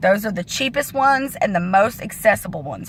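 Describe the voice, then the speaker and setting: Here is a woman with a plain, everyday voice. She talks at a moderate pace with ordinary pitch variation. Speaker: fitness coach. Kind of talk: casual vlog training talk.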